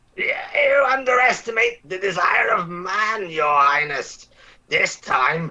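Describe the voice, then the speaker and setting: The voice is a put-on character voice. Its pitch sits fairly high. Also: fairly slow pace. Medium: stage play. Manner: sardonic, hesitant.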